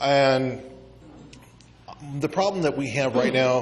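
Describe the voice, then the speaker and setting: A man with an American accent speaks at a medium pitch. Background noise is noticeable. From US Midwest. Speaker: congressional candidate. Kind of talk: candidate forum answers. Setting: community meeting banquet room.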